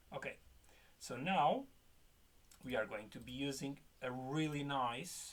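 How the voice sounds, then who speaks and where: A man's medium-pitched voice at a fairly slow pace. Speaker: web development tutor. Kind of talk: coding tutorial. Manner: casual, animated.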